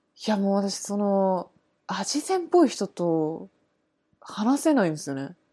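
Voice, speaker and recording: A woman at medium pitch, dark and mellow in tone, swings her pitch very widely in a very clean recording with a silent background. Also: moderate pace. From Japan. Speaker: art student. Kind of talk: casual chat.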